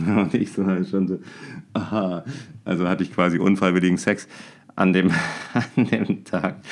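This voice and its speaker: Speaking at a medium pace, a man has a very deep, low pitch. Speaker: performer and podcast co-host. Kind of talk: casual chat.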